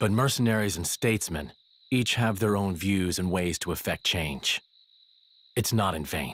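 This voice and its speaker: This put-on character voice has a calm tone and moves at a moderate pace. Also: man, fairly low pitch for a man. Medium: video game. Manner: calm, measured.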